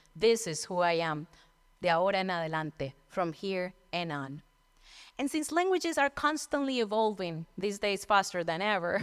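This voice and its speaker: A woman with a Colombian accent talks at a moderate pace and medium pitch, her voice making very wide pitch swings in a very clean recording with a silent background. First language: Spanish. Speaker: storyteller. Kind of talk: storytelling performance.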